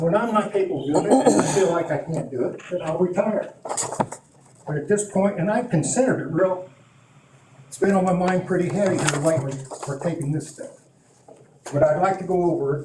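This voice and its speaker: Amid noticeable background noise and audible room echo, a man with a high pitch and ordinary pitch variation talks at a fairly quick pace broken by long, frequent pauses. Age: 60s. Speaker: police chief. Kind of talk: council meeting testimony. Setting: town council meeting.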